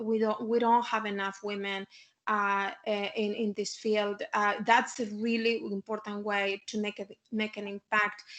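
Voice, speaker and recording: Speaking in a Chilean accent, a woman goes at a fairly slow pace with monotone, flat intonation. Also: fairly high pitch for a woman. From Chile (Santiago). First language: Spanish. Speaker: civic tech founder, panelist. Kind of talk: panel discussion talk to students. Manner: halting, many fillers and repetitions.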